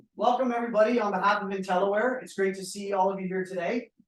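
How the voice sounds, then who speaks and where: A man speaks loudly with fairly even intonation. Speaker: venue sponsor representative. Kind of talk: welcome speech. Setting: live event with audience.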